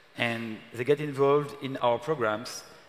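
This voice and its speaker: A man with a French accent speaks at a fairly slow pace with fairly even intonation over noticeable background noise. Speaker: city official. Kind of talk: panel discussion. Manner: halting.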